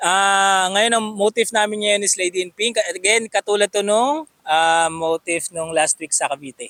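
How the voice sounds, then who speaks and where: Fairly slow speech with hardly any pauses and ordinary pitch variation, in a dry, close sound with no echo. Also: man, high pitch for a man. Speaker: photography vlogger. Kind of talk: casual vlog chat. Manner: spontaneous, unscripted.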